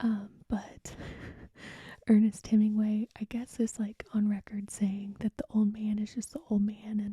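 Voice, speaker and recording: The speaker whispers, soft-spoken. The pace is very slow. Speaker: teacher. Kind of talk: ASMR rambling. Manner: whispered, soft-spoken.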